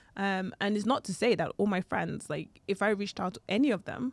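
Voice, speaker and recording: Vocal fry runs through this voice with ordinary pitch variation, heard in a very clean recording with a silent background and a dry, close sound with no echo. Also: woman. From Cameroon, Yaounde. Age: 30s. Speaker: scientist and entrepreneur. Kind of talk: interview.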